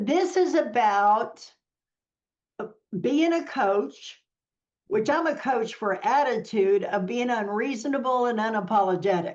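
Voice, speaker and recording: A woman speaks at a fairly slow pace with long, frequent pauses, her fairly high voice swinging very widely in pitch. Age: 60s. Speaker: podcast host. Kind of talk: interview.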